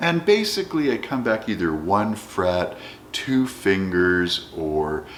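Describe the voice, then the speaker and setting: A man's voice over noticeable background noise. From Canada. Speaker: educator, guitar hobbyist. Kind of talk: casual talk to camera.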